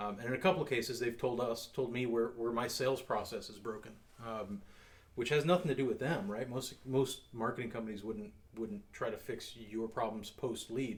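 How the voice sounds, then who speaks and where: Talking at a fairly quick pace, a man sounds somewhat breathy. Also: medium pitch for a man, ordinary pitch variation. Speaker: security company owner and show host. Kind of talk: casual chat over drinks.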